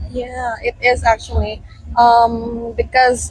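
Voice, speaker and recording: A woman with a Filipino accent, with music in the background. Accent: Filipino English, good. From Philippines, Iloilo (Lambunao). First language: Hiligaynon. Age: 20s. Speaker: university student and volunteer responder. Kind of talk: street interview. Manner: halting, many fillers.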